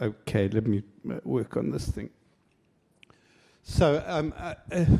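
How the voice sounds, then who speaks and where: With a dark, mellow tone and vocal fry, a man talks at a fairly slow pace, his pitch swinging very widely between long, frequent pauses. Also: medium pitch for a man. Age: 60s. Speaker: professor, conference speaker. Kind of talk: conference presentation. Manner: hesitant, many fillers.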